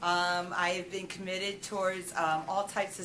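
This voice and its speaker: A woman with a medium pitch speaks at a moderate pace. Audible room echo and noticeable background noise surround her. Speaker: teacher. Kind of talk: self-introduction. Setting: school board meeting room. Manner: loud.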